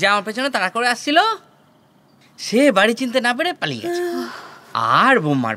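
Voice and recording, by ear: Putting on a character voice, a man goes extremely high in pitch with very wide pitch swings, a bright, sharp tone and a fairly quick pace.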